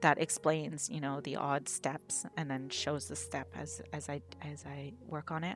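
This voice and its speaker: Over music in the background, a woman with a very deep, low voice talks at a moderate pace. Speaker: digital artist. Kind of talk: unscripted voiceover Q&A over a speedpaint. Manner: rambling, hesitant.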